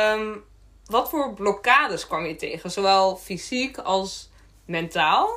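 A woman uses a plain, everyday voice at medium pitch with lively intonation. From Friesland, Netherlands. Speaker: podcast host. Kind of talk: podcast interview.

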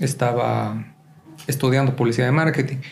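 A man's fairly even intonation comes through with audible room echo. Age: 20s. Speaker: photographer and podcast co-host. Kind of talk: casual chat.

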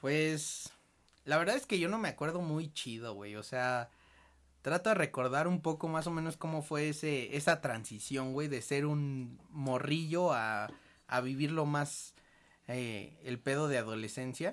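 A man with a Mexican accent, his pitch fairly high, his pace fairly slow, ordinary pitch variation, on a very clean recording with a silent background. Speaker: podcast host. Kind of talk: casual chat.

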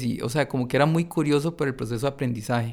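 A man's normal speaking voice at medium pitch, with fairly even intonation. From Costa Rica, San Carlos. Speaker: entrepreneur. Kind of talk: interview.

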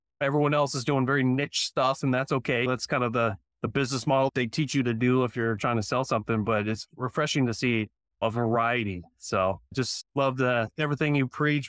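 A man with an unremarkable speaking voice talks at a fairly quick pace with hardly any pauses, very even loudness and fairly even intonation, in a dry, close sound with no echo and a very clean recording with a silent background. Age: 40s. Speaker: podcast host and personal trainer. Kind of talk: interview.

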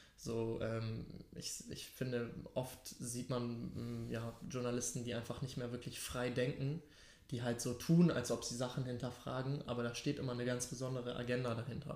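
With audible room echo, a man talks at a medium pitch and a moderate pace in a monotone, flat intonation. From Hamburg, Germany. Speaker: podcast host. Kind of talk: casual chat; podcast intro.

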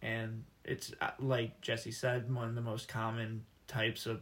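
With an American accent, a man has a plain, everyday voice at a medium pitch. He speaks at a fairly slow pace. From Michigan. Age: 20s. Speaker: college student. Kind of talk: casual interview.

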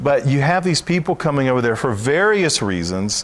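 Very wide pitch swings mark a man speaking at a moderate pace with a Southern US accent. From Alabama. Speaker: Messianic minister. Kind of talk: interview.

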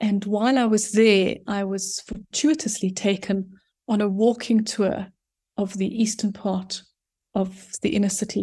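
A woman speaks with a dark, mellow tone and is somewhat breathy. The recording is very clean, with a silent background. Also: medium pitch for a woman, fairly slow pace. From South Africa, Johannesburg. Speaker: urban planner and author. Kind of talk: casual interview.

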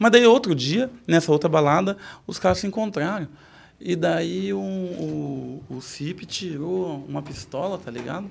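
Fairly slow delivery with very wide pitch swings and big swings in loudness. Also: man, fairly high pitch for a man. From Sorocaba, São Paulo state, Brazil. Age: 40s. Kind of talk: casual interview chat.

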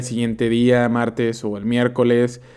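The voice has a dark, mellow tone. It moves at a moderate pace. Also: man. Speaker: podcast host. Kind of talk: casual solo monologue.

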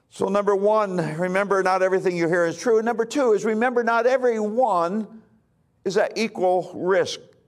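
A man speaks moderately fast in a high pitch, with ordinary variation in his pitch. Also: very even loudness. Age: 60s. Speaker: pastor. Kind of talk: sermon.

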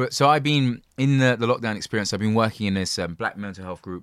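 With a London accent, a man speaks at a fairly quick pace and ordinary pitch variation. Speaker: podcast host. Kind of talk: casual chat. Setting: video call.

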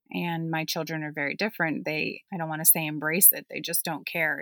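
A woman speaks with a Western Pennsylvania accent and a bright, sharp tone. The recording is very clean, with a silent background and a dry, close sound with no echo. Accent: Western Pennsylvania American. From US, Pittsburgh. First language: German. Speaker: podcast guest, mother of third culture background. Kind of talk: casual chat.

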